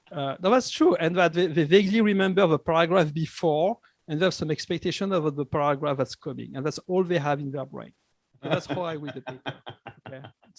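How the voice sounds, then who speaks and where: A man with a non-native accent talks at a very fast pace in a fairly high pitch with ordinary pitch variation. His loudness swings widely, and the sound is dry and close with no echo. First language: not English. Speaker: business school professor. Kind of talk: interview. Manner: halting, many restarts.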